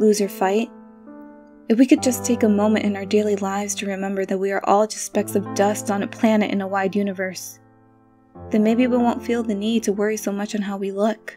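Music plays in the background as a woman talks at a fairly quick pace. Her pitch is medium and her intonation monotone and flat. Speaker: spoken word poet. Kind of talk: spoken word poetry performance.

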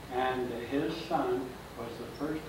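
A fairly high-pitched man with an American accent, plus audible room echo and noticeable background noise. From Kansas. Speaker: local historian. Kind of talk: public history lecture. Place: hall. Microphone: camera far.

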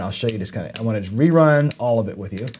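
A man talks at a moderate speed with lively intonation while light background noise is heard. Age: 50s. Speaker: gambling channel host and teacher. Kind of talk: casual livestream lecture. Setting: studio. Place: home room.

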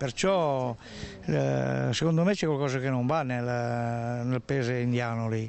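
Slow and at a medium pitch, a man talks with vocal fry and a slightly mellow tone. His intonation stays fairly even.

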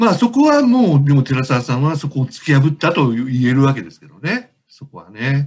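A man speaks at a moderate pace in a somewhat breathy, fairly high voice. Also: big swings in loudness. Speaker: book editor co-host. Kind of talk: casual interview.

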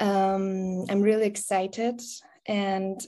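A dark, mellow tone with a Persian accent. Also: woman. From Iran. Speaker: interviewer. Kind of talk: interview. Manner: halting. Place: home room. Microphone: video call.

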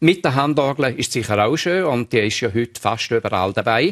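Over a quiet background, a man with a strong Appenzell accent speaks at a moderate pace with ordinary pitch variation. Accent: broad Appenzell Innerrhoden dialect. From Switzerland, Appenzell Innerrhoden; Switzerland. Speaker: retired teacher and dialect collector; retired teacher. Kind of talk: radio interview. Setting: studio. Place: studio. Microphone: lapel.

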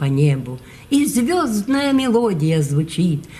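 Her pace is very slow. This woman's pitch rises and falls very widely. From Ukraine. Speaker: poet. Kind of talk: poetry reading. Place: hall. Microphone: phone near.

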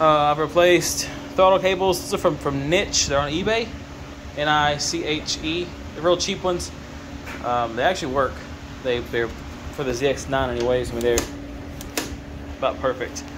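Against noticeable background noise, a man's speech is broken by long, frequent pauses. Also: ordinary pitch variation, moderate pace. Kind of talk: casual vlog chat. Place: garage. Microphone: phone near.

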